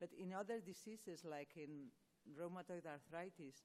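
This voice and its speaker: A woman's fairly low voice has a dark, mellow tone and ordinary pitch variation. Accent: Spanish. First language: Spanish. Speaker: rheumatology professor answering patient questions. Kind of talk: expert Q&A answering audience. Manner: halting, many false starts.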